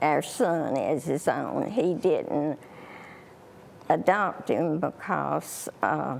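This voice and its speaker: Here a woman talks in a Southern US accent. Her pace is very slow. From US South, Alabama. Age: 80s. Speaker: elderly guest. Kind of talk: TV interview. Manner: halting.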